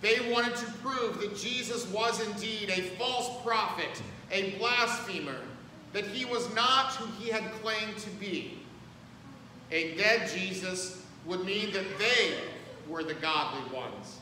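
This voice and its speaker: A man's raised, projected voice at a fairly slow pace, with audible room echo and light background noise. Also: ordinary pitch variation. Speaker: pastor. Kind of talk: sermon. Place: church. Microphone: camera far.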